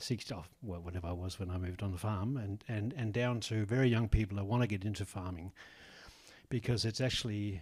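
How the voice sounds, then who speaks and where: A man with an Australian accent speaks at a fairly quick pace, his somewhat breathy voice keeping a fairly even intonation on a very clean recording with a silent background. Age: 60s. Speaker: egg farmer. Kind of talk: audience comment at panel. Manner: halting.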